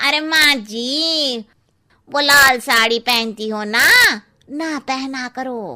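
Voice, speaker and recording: A woman does a cartoonish character voice, pitched high and delivered at a very slow pace. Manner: cheeky, blunt.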